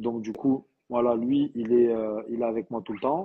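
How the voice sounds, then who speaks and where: In a southern French accent, a man of medium pitch speaks at a fairly slow pace. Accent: southern French, sing-song. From southern France. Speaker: trainer and training company owner. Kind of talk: live interview. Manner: hesitant, many fillers.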